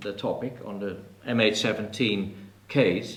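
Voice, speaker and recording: A man with a Dutch accent speaks at a fairly slow pace. Noticeable background noise and audible room echo surround him. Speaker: professor and author. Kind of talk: press conference panel talk. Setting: press conference in a TV café.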